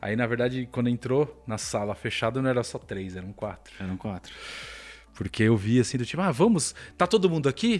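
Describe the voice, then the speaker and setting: With an unremarkable speaking voice, a man talks at a fairly quick pace and medium pitch, his intonation lively, in a very clean recording with a silent background. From Brazil. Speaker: video game journalist. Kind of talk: casual chat.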